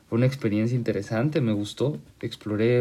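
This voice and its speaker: The man's voice is dark and mellow in tone, set at a medium pitch. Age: 20s. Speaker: podcast host. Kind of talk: casual monologue. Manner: halting.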